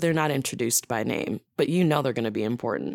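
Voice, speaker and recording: The woman has a very deep, low pitch and lively intonation, captured on a very clean recording with a silent background. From Wisconsin. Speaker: improviser and voice actor. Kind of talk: casual chat.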